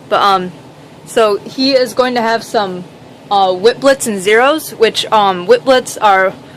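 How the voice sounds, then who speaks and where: Over noticeable background noise, a woman speaks at a moderate pace in a fairly high pitch. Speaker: reptile keeper. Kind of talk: casual talk to camera. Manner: stuttering, hesitant.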